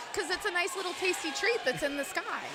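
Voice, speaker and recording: A woman with an American accent speaks in a raised, projected voice and an animated tone over noticeable background noise. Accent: Pittsburgh accent, mostly suppressed. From Pittsburgh area, US. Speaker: roller derby announcer. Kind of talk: live commentary. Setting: ice arena.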